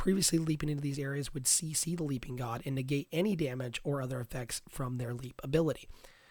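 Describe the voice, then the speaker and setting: The voice is somewhat breathy and moves at a very fast pace. Its pitch varies an ordinary amount. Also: man, fairly high pitch for a man. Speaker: gaming content creator. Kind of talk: casual talk to camera, game patch commentary.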